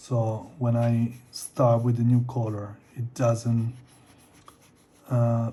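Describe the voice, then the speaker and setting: A man with a non-native accent speaks in a medium pitch with monotone, flat intonation. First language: not English. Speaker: artist. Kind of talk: casual talk while drawing. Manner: halting.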